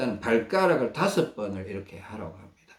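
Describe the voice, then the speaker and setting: The man's voice is somewhat breathy. He speaks at a fairly slow pace. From Gyeongsang region, South Korea. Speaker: health researcher sharing self-care methods. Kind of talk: instructional talk. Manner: halting, with many fillers.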